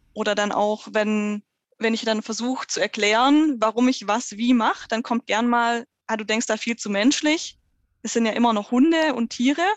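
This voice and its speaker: A woman with a fairly high pitch uses an ordinary speaking voice at a moderate pace, with ordinary pitch variation. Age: 30s. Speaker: dog trainer in training. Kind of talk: casual interview.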